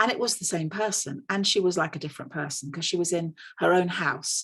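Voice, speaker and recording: This woman speaks at a fairly low pitch with ordinary pitch variation. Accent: English. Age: 60s. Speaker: nurse. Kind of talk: conference panel talk.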